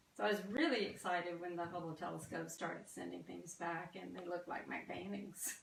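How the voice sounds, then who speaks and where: With a slight Southern US accent, a woman talks at a fairly quick pace with hardly any pauses. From US South. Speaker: artist. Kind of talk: artist talk. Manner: halting, many fillers.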